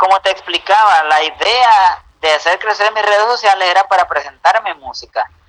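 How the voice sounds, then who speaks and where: A man with a Mexican accent, high-pitched, at a moderate pace with hardly any pauses. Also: ordinary pitch variation. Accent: Mexican-sounding Spanish. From United States. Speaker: incarcerated youtuber. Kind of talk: casual chat.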